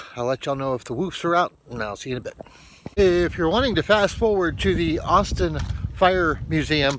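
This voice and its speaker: Here is an unremarkable speaking voice, a man at fairly high pitch. He talks at a fairly quick pace with lively intonation. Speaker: vlogger. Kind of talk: casual vlog talk.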